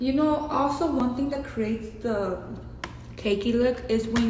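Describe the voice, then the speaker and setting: The speaker has a strong Mexican accent and talks at a moderate pace with ordinary pitch variation. The recording has audible room echo and noticeable background noise. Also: woman. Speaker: beauty vlogger. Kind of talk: makeup tutorial. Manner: casual, chatty.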